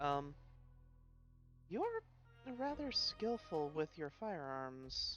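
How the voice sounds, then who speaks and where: Over clear background music, a female-sounding voice puts on a soft-spoken character voice, talking very slowly with long, frequent pauses. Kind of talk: polite, formal.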